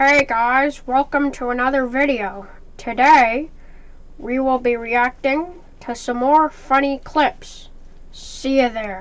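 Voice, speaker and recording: A female-sounding voice performs a cartoonish character at a high pitch. The pace is fairly slow. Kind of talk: casual puppet reaction commentary.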